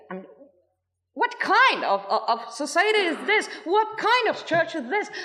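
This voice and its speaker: Raised and projected, a woman's extremely high voice swings very widely in pitch at a fairly slow pace. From France. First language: French. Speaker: former cult member speaking at a protest. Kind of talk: testimony. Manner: halting.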